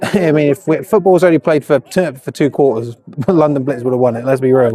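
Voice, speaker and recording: Using an ordinary speaking voice, a man talks at a fairly quick pace with a fairly high pitch and ordinary pitch variation. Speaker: sports commentator. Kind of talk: live commentary. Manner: casual, chatty.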